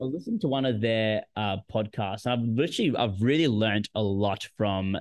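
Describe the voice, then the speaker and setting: In an Australian accent, a man talks at a moderate pace with a fairly low pitch and ordinary pitch variation. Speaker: podcast co-host. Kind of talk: casual chat. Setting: video call, poor connection.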